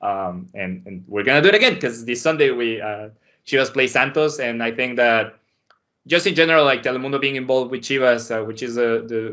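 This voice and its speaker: Speaking fairly quickly, a man with a Spanish accent uses a medium pitch. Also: ordinary pitch variation. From Mexico City. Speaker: sports anchor and soccer analyst. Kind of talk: casual podcast interview.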